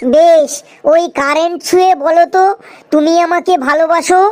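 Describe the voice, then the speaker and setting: A woman's cartoonish character voice, extremely high in pitch and flat, monotone in intonation. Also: moderate pace. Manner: complaining, snappish.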